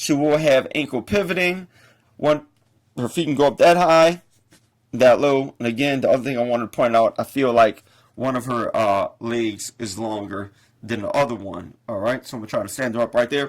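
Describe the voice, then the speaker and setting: This man has an ordinary speaking voice with an American accent and medium pitch. He moves at a moderate pace with lively intonation. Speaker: toy reviewer. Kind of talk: product review.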